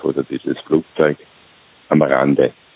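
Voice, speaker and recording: Noticeable background noise behind a man's voice. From Austria. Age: 60s. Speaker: retired executive turned self-employed consultant. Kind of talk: interview. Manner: halting.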